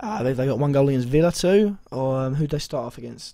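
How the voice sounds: A man talks at a fast pace. His voice sits at a fairly high pitch with a dark, mellow tone.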